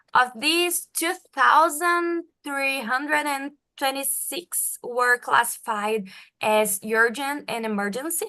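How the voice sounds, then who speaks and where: A woman with a Portuguese accent speaks very slowly in a raised, projected voice with lively intonation. Her tone is bright and sharp, her pitch is high, and the background is quiet. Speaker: medical doctor and researcher. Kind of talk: research presentation.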